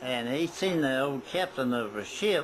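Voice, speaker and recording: With noticeable background noise, a man in an American accent speaks with ordinary pitch variation. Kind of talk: family oral history interview answer.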